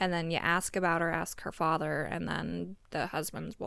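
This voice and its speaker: A fairly low-pitched woman with vocal fry talks at a fairly quick pace on a very clean recording with a silent background. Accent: American. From Montana, US. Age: young. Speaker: relative of host raised in polygamous community. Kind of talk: casual chat. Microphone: audio distorted and echoey towards the end.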